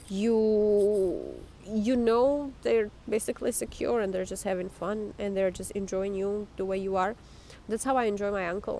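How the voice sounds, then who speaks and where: A woman with a non-native accent speaks at a moderate pace and medium pitch, with a dark, mellow tone and fairly even intonation. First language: not English. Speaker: life coach vlogger. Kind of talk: casual monologue. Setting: outdoors.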